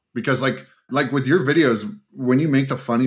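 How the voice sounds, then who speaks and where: In a very clean recording with a silent background, a man with a plain, everyday voice and medium pitch speaks at a fairly quick pace with lively intonation. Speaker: podcast host. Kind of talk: casual podcast chat.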